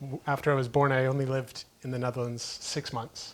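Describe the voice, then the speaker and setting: The speaker is a man with a Florida accent. His voice has a medium pitch. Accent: American (Florida). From US, Key West, Florida. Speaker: entrepreneur. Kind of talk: interview conversation.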